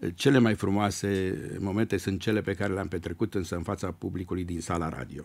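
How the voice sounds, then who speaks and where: Very deep and low in pitch, this man's voice moves along at a fairly quick rate. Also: ordinary pitch variation. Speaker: retired radio presenter and lyricist. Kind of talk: radio interview. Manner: tender, warm. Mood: warm, nostalgic, joking. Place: studio. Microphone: studio mic.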